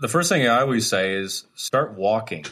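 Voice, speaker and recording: A man talks very fast on a very clean recording with a silent background. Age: 40s. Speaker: fitness instructor. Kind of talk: interview.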